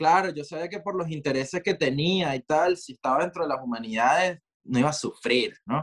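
A man with a plain, everyday voice, fairly high in pitch with ordinary variation, talking at a fairly quick pace in a dry, close sound with no echo. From Venezuela, Maracay. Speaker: multidisciplinary artist. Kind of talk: casual interview conversation.

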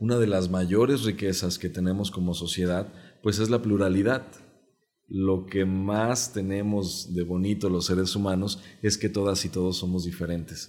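Speaking at a moderate pace, a man has a very deep, low voice and fairly even intonation. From Mexico, Jalisco. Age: 30s. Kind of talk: interview.

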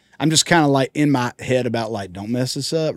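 A man speaks with a Southern US accent and ordinary pitch variation. The recording is very clean and dry, close with no echo, over a silent background. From Georgia, US. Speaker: country singer. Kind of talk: casual chat. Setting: tour bus.

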